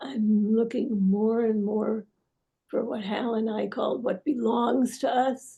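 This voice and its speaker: The voice is somewhat breathy, with fairly even intonation and a very slow pace. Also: woman, fairly high pitch for a woman. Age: 80s+. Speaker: psychotherapist, method co-founder. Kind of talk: casual interview conversation. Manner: halting, with many restarts.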